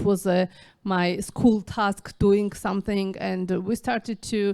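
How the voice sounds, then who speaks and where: A woman's dark, mellow voice at a fairly slow pace, with fairly even intonation. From Georgia (Tbilisi). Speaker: novelist and filmmaker. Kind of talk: festival interview. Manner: halting, many fillers.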